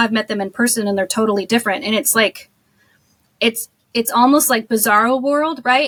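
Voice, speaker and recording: A woman with an American accent talks loudly in a bubbly, animated tone at a moderate pace, with ordinary pitch variation and a dry, close sound with no echo. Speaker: social media marketing agency owner. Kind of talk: podcast interview.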